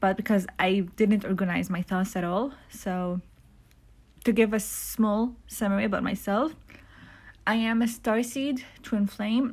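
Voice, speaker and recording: At a fairly slow pace with long, frequent pauses, a woman speaks somewhat breathily at medium pitch with ordinary pitch variation, on a very clean recording with a silent background. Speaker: spiritual vlogger. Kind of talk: casual monologue. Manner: halting, many fillers.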